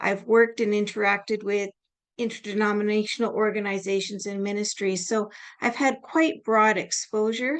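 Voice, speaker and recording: A woman with a Canadian accent and an unremarkable speaking voice, fairly high-pitched, at a moderate pace with fairly even intonation against a quiet background. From Canada. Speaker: nurse and lecturer. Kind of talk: lecture.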